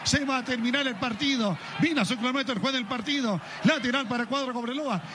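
A man's raised, projected voice, extremely high in pitch and fairly quick, over noticeable background noise. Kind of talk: live radio sports commentary. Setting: radio broadcast from stadium. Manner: fast, breathless play-by-play delivery; animated, excitable.

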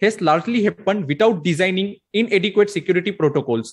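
Against a quiet background, a man speaks at a high pitch with ordinary pitch variation. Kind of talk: conference presentation.

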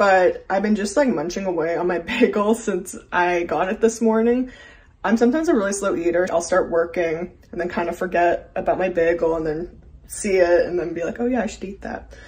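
Breathiness to some degree in a female voice, fairly quick in tempo, with ordinary pitch variation. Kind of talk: casual vlog chat. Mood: cheerful, relaxed. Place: home room. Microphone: phone near.

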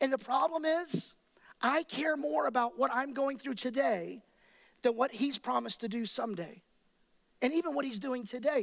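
A man talks at a moderate pace against a quiet background. His speech has long, frequent pauses. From Texas, Dallas–Fort Worth area; Texas. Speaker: pastor. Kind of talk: sermon. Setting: church with live and online audience. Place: church. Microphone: headset.

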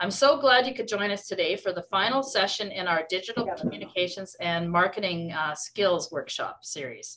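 At a moderate pace with hardly any pauses, a woman of medium pitch uses lively intonation in an unremarkable speaking voice. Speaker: workshop host. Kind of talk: workshop introduction. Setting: video call.

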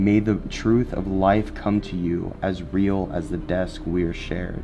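A man with a very deep, low pitch speaks at a fairly slow pace with ordinary pitch variation. Faint music plays in the background. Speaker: paranormal investigator host. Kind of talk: casual vlog chat and reading aloud. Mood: excited, amused. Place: hall. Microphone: camera far.

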